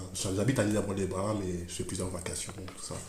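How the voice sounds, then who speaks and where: With audible room echo and noticeable background noise, a man with a very deep, low voice talks at a fairly quick pace. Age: 30s. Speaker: school librarian teacher. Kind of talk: interview. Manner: halting; enthusiastic.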